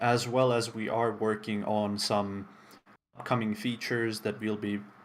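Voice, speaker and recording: A man of medium pitch speaks with a non-native accent. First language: not English. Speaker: game developer community stream host. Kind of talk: live stream presentation. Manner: casual, with frequent fillers.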